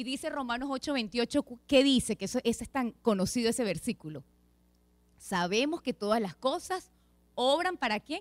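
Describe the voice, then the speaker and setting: At a fairly slow pace, a woman speaks in a high pitch with very wide pitch swings, faint music in the background. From Venezuela. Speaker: lay preacher, pediatric dentist; lay preacher. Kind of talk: sermon. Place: church. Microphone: handheld.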